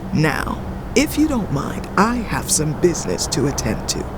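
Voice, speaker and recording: Someone performs a put-on character voice over loud background noise. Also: moderate pace. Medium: audio drama. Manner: level, calm, honeyed crooning.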